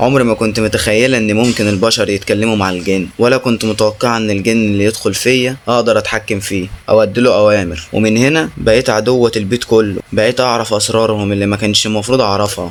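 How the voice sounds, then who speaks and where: A man at a fairly low pitch, fairly even intonation, a fairly quick pace and hardly any pauses. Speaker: horror story narrator. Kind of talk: horror story narration.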